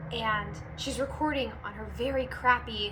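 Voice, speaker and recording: Noticeable background noise runs behind a woman speaking with an American accent. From California. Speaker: voice actor. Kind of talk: casual talk to camera. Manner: perky, bubbly.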